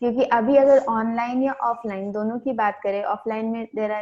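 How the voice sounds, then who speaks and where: A woman speaks in a plain, everyday voice, fairly high in pitch, with fairly even intonation. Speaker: non-profit education worker. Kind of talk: interviewer questions, Hindi-English mix.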